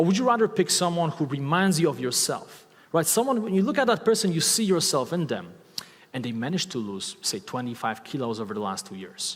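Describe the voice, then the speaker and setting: Very fast, animated speech with very wide pitch swings and a slight Eastern European accent. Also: man. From Poland. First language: Polish. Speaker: motivational speaker and online course creator. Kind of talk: talk to a live audience. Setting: stage with audience. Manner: loud.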